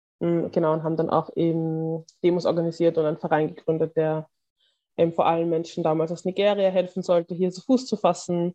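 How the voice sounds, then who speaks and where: Fairly even intonation from a woman with a fairly low pitch, delivered at a fairly quick pace. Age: 20s. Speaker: activist. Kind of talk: interview.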